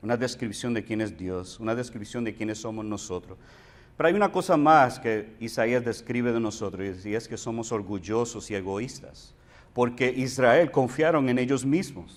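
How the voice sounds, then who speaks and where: This man's voice sits at a medium pitch. He keeps a moderate pace, his pitch varying in an ordinary way. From Puerto Rico. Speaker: pastor. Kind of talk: sermon.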